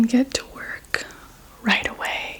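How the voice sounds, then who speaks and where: A woman whispering in a gentle tone at a very slow pace, with noticeable background noise. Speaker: reiki energy healer. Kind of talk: ASMR energy healing roleplay. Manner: soft-spoken, gentle.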